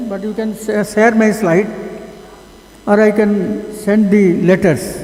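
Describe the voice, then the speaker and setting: A man with a high-pitched voice speaks in a room with audible echo and noticeable background noise. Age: 80s+. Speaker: conference speaker, conservationist. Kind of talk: conference talk. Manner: halting.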